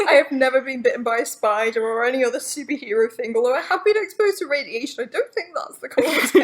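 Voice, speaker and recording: Over noticeable background noise, a woman speaks at a very fast pace with hardly any pauses, her high pitch carried by lively intonation. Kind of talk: casual chat.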